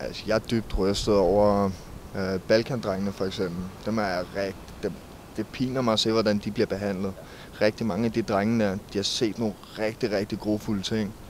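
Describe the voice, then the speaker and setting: A man's fairly low, monotone voice with flat intonation, at a moderate pace. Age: 20s. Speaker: war veteran. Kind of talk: interview. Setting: outdoors. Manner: halting.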